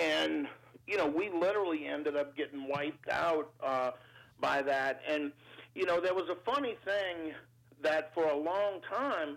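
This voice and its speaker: A man talks fairly slowly with a New Orleans accent and a fairly high voice. His loudness stays very even, his pitch varying in an ordinary way. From New Orleans, Louisiana, US South. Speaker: entrepreneur and business adviser. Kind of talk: interview. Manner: halting, many fillers.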